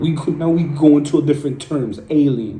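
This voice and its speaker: With audible room echo, a man speaks in a dark, mellow, somewhat breathy tone at a fairly high pitch. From Puerto Rico. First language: Spanish. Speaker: streamer. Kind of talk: rant. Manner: animated.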